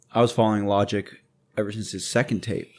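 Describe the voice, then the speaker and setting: In a very clean recording with a silent background, a man with a normal speaking voice and fairly low pitch talks at a fairly quick pace. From born in England, raised in Mexico and the US. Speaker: podcast host. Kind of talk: casual chat.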